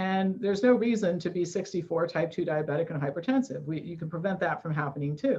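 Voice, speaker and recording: Fairly low in pitch, a woman speaks at a very fast pace with hardly any pauses and ordinary pitch variation. Her tone is dark and mellow, and somewhat breathy. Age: 60s. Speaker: nutrition expert and author. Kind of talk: interview. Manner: animated.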